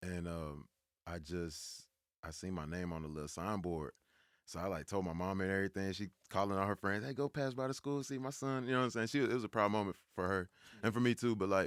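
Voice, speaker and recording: A normal speaking voice from a man with an American accent, fairly low in pitch, with lively intonation and a fairly quick pace, in a dry, close sound with no echo. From Georgia, US (Powder Springs, near Atlanta). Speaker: rapper. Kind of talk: casual interview. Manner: relaxed, conversational.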